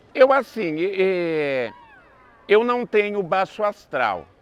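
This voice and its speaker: A man speaks with very wide swings in pitch. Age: 60s. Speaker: festival dance troupe founder. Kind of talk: interview.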